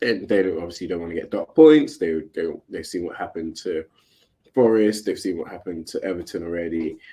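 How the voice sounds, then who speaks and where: A man speaks in a dark, mellow tone. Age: 30s. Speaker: podcast co-host. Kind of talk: casual chat. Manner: animated.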